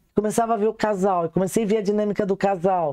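A woman speaks with a dark, mellow tone at a moderate pace. The background is quiet. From Brazil. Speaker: sex therapist; guest. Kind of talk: casual chat. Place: studio. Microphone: lapel.

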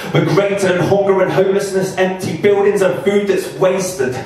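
There is strong room echo around a man whose voice sits high in pitch. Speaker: performance poet. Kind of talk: spoken word poetry performance. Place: bar.

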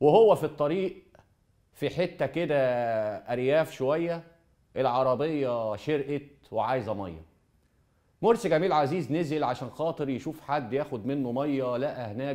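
A dark, mellow voice with lively intonation at a fairly slow pace, with long, frequent pauses against a quiet background. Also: man. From Egypt. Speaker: TV presenter. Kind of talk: storytelling monologue. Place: studio. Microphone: lapel.

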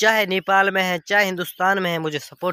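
At a moderate pace, a man with a high-pitched voice talks over light background noise in a dry sound with no echo. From Pakistan. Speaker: vlogger. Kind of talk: casual vlog. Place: farm machine. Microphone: phone near.

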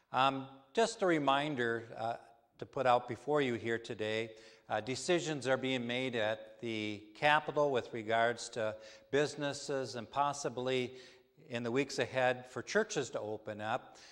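Moderate pace and ordinary pitch variation from a man, quiet background behind him. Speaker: minister. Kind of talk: worship announcements. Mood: calm, earnest. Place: church. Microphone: lapel.

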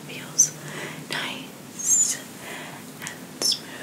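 A soft-spoken woman at a very slow pace over loud background noise. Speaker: ASMR creator. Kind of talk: soft ASMR narration. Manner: soft, hushed ASMR voice. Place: home room. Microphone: studio mic.

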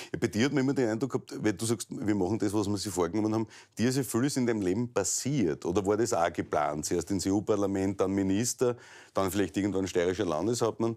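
A man speaks very fast in a fairly low voice with a dark, mellow tone. His pitch varies in an ordinary way, his loudness stays very even, and the background is quiet. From Styria, Austria. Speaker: talk show host. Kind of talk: interview. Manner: casual, joking. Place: office. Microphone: lapel.

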